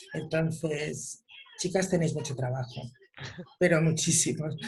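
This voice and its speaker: A woman speaks with a very deep, low pitch and ordinary pitch variation. Her pace is moderate. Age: 60s. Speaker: mother of a son with Down syndrome. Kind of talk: online panel discussion. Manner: animated.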